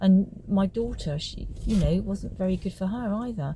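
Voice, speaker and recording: A woman's somewhat breathy voice has a dark, mellow tone and ordinary pitch variation. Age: 70s. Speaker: retired homeopath. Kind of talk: personal testimony. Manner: halting, with filler words.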